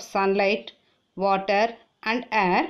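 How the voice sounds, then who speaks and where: A woman with a Tamil accent at a very slow pace, in a very clean recording with a silent background. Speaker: teacher. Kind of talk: reading aloud.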